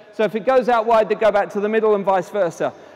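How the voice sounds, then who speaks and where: Over noticeable background noise, a man talks in a high voice. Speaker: tennis coach. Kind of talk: live coaching demonstration. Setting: conference court demonstration with audience, power outage. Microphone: no amplification due to power issue.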